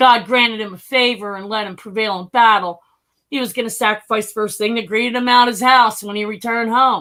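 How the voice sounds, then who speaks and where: A woman talks at a fairly quick pace with a slight Philadelphia accent. Her fairly high voice has a bright, sharp tone. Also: big swings in loudness. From US Northeast, North Philadelphia. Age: 50s. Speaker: human trafficking survivor and stock trader. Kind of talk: interview testimony. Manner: animated.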